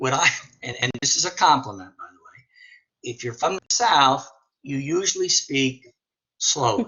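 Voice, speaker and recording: A man with an American accent and a fairly high pitch, lively intonation, big swings in loudness, a moderate pace and long, frequent pauses. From northern US. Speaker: teacher. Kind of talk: casual discussion in a webinar.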